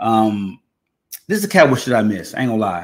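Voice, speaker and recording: An unremarkable speaking voice, this man talks at a moderate pace and medium pitch with an American accent. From Texas. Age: 30s. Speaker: podcast host. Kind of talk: casual chat.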